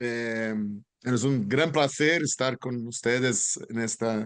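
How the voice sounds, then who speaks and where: This is a man with a Brazilian accent. The sound is dry and close, with no echo. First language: Portuguese (speaking Spanish). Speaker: hospital hospitality consultant and lecturer. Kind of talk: conference talk. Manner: halting, deliberately not fast.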